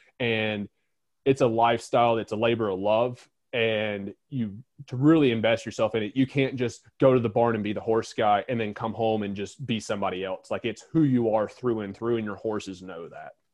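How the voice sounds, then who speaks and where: At a moderate pace, a man speaks with an unremarkable speaking voice and fairly even intonation. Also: medium pitch for a man. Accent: American. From North Carolina. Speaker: horse trainer and business owner. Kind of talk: interview.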